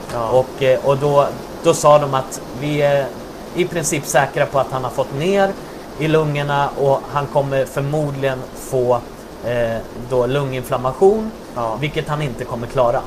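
Over noticeable background noise, a man with a fairly high pitch talks at a fairly slow pace with ordinary pitch variation. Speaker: church worker, pastor's son. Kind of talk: interview about faith and testimony.

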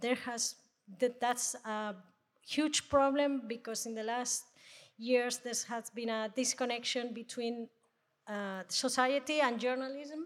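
In a Spanish accent, a woman speaks at a very slow pace. Her pitch is high and her intonation fairly even. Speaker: audio editor-in-chief, producer. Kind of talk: panel discussion. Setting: stage with live audience.

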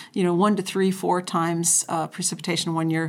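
In an American accent, a woman with a fairly low pitch speaks at a fairly quick pace in a monotone, flat intonation, in a very clean recording with a silent background. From North Dakota, US Upper Midwest. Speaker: rangeland scientist. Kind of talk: interview.

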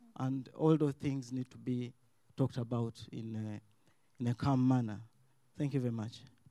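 A man's medium-pitched, dark and mellow voice, monotone and flat, at a moderate pace with long, frequent pauses. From Uganda. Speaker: audience member. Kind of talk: audience question. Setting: stage with live audience.

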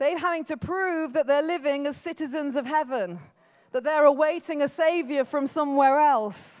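At a moderate pace, a woman speaks with a high pitch and ordinary pitch variation over a quiet background. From England, Birmingham. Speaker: pastor. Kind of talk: sermon. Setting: church. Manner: casual, conversational preaching.

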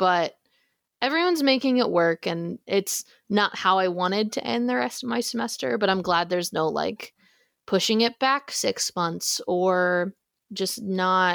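A woman with an American accent has a normal speaking voice, medium pitch and lively intonation. The recording is very clean with a silent background and a dry, close sound with no echo. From Texas. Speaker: theater student. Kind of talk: casual interview.

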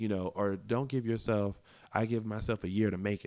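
A man with an American accent and an ordinary speaking voice, fairly low in pitch, fairly even in intonation and fairly quick in pace, in a very clean recording with a silent background. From South Carolina. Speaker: actor and web talk show host. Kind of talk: casual interview.

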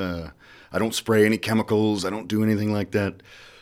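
A man with an American accent, fairly low-pitched and monotone, on a very clean recording with a silent background. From US Midwest, rural southeast Iowa. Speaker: musician. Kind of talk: casual chat. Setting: radio studio. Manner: halting.

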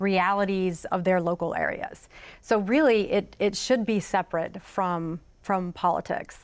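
With a Southern US accent, a woman talks at a moderate pace and medium pitch, keeping her intonation fairly even. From South Carolina (Florence). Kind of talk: panel discussion.

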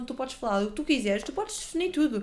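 The speaker has a European Portuguese accent and lively intonation. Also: woman. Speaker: podcast co-host. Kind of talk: casual chat.

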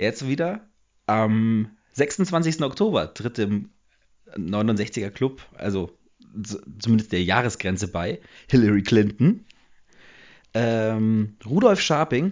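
A man speaks at a very slow pace with long, frequent pauses. His pitch is medium and his intonation lively. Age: 20s. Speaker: podcast co-host. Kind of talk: casual chat.

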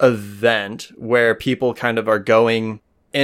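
A natural reading voice comes over a quiet background.

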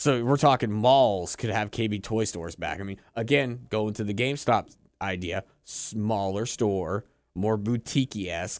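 In a very clean recording with a silent background, a man with a plain, everyday voice speaks at a fairly low pitch and a fairly slow pace, with ordinary pitch variation. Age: 30s. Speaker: podcast host. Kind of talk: casual chat.

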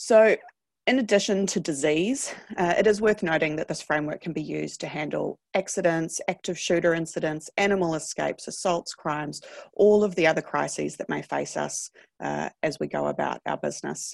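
Recorded dry and close with no echo against a quiet background, a woman speaks at a fairly quick pace. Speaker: business data consultant. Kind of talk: webinar presentation.

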